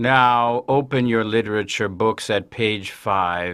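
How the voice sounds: Using a robotic, put-on character voice, a man speaks in a medium pitch at a fairly slow pace.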